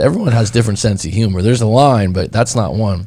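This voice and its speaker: A man's medium-pitched voice with ordinary pitch variation, an unremarkable speaking voice. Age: 30s. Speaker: breakup coach. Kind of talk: casual chat.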